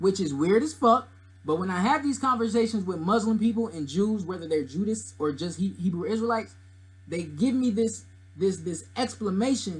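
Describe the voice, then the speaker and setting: A man shouts loudly with lively intonation. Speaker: YouTuber discussing religion and mythology. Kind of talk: casual commentary monologue. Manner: loud, yelling; animated.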